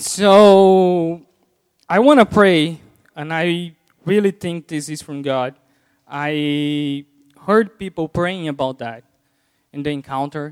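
Against a silent background in a very clean recording, a man speaks at a very slow pace with a fairly high pitch and ordinary pitch variation. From Brazil. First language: Portuguese. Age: 30s. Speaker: lay preacher. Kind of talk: sermon. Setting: church. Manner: halting.

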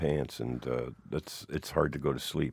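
Vocal fry from a man with a Canadian accent, on a very clean recording with a silent background. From Hamilton, Ontario, Canada. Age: 50s. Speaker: musician and author. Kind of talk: casual interview, storytelling.

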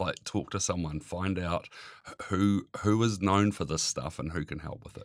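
A man's very deep, low voice in a Southland New Zealand accent, moderate in pace, with fairly even intonation and big swings in loudness. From New Zealand, Invercargill (Southland). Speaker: interviewee sharing mental health experience. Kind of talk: personal testimony. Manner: hesitant, with many fillers.

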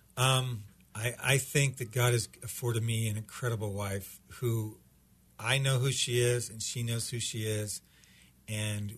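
A man's somewhat breathy voice at medium pitch, moderate pace and fairly even intonation. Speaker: pastor. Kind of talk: casual interview chat. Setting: studio.

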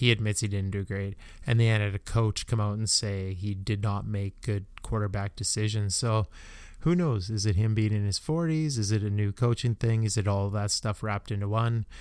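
Using a normal speaking voice, a man talks at a moderate pace with a fairly low pitch and ordinary pitch variation. The recording is very clean, with a silent background. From Canada. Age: 40s. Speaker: podcaster. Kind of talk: casual solo monologue. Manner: relaxed, many filler ums.

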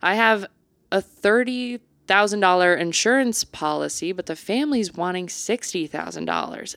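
On a very clean recording with a silent background and a dry, close sound with no echo, a woman with a normal speaking voice talks at a medium pitch and a moderate pace, with ordinary pitch variation. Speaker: podcast co-host. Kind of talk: casual chat.

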